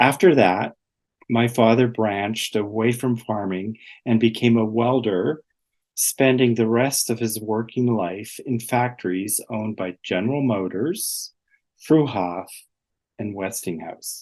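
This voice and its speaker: A man with a plain, everyday voice speaks fairly slowly at a medium pitch, with ordinary pitch variation over a quiet background. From southwestern Ontario, Canada. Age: 60s. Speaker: artist and retired gallery director. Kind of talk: presentation talk.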